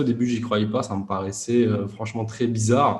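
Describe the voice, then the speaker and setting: A man with a dark, mellow tone and medium pitch speaks at a moderate pace. His voice is somewhat breathy, with audible room echo. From France, Grenoble suburbs. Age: 30s. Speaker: e-commerce entrepreneur. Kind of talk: interview. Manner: hesitant, many fillers.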